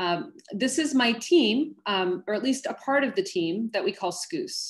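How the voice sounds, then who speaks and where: A woman speaks with an American accent and a somewhat breathy voice. Her pitch swings very widely. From US West Coast, Los Angeles. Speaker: oceanographer. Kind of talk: lecture.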